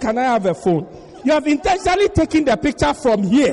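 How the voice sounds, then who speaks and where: An animated man at a fairly quick pace, his pitch swinging very widely, over noticeable background noise. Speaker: preacher. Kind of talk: sermon. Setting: church with congregation. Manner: animated, humorous, call-and-response with the congregation.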